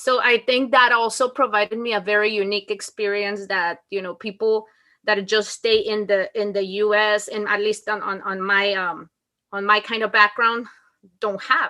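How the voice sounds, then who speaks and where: A woman with a Mexican accent speaks at a fairly high pitch and moderate pace, in a bright, sharp tone with monotone, flat intonation. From Mexico. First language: Spanish. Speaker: school principal. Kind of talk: interview.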